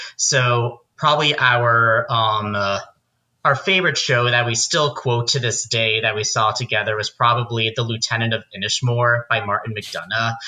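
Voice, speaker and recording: Against a quiet background, a man with an American accent speaks at a moderate pace and medium pitch, his tone bright and sharp, with ordinary pitch variation. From New Jersey, near New York. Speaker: playwright. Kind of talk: casual interview chat. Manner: hesitant with many fillers.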